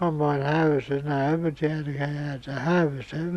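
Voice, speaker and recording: The voice has an Australian accent and fairly even intonation. It moves at a moderate pace. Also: man. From Victoria, Australia. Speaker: retired farmer. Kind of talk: interview answer.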